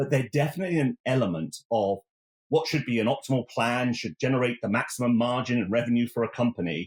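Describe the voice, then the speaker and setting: A man with an English accent talks at a very fast pace in a medium pitch with ordinary pitch variation, in a very clean, dry, close recording with a silent background and no echo. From England, Oxford. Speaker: technology executive. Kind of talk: podcast interview.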